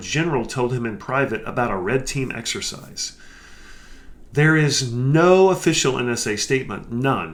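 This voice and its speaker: With lively intonation and an animated tone, a man speaks at a fairly high pitch. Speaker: cybersecurity podcast host. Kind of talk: news commentary podcast. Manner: fast.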